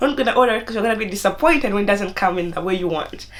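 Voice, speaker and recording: With a non-native accent, a woman speaks at a very fast pace, her medium pitch showing ordinary variation. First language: not English. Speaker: fashion YouTuber. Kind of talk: try-on haul review. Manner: casual and chatty.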